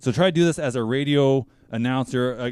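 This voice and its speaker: A plain, everyday voice from a man, medium in pitch with ordinary variation. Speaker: show host, interviewer.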